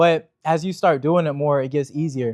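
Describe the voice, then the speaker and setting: A man talks at a fairly quick pace and fairly high pitch, with a dark, mellow tone and fairly even intonation. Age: 20s. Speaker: real estate business owner. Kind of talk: interview Q&A answers. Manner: casual, filler-heavy (like, you know).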